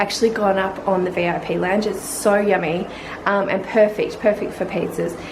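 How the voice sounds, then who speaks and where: A quiet voice in an Australian accent, monotone and flat, with audible room echo and noticeable background noise. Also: woman. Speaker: family vlogger. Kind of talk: casual vlog chat. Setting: at home at night.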